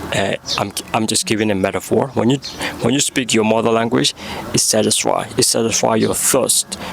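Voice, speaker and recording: Medium-pitched male voice with a Burmese accent, over noticeable background noise. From Myanmar. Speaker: vlogger. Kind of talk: vlog monologue. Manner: halting.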